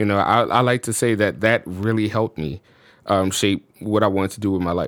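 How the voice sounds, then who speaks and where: An unremarkable speaking voice from a man with an American accent, fairly low in pitch, fairly quick in pace, with ordinary pitch variation. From US South, New Orleans. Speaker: musician and studio owner. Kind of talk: casual chat. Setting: studio.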